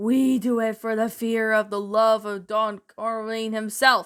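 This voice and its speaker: In a very clean recording with a silent background, a female-sounding put-on character voice, fairly high in pitch, speaks fairly slowly in a monotone, flat intonation. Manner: menacing.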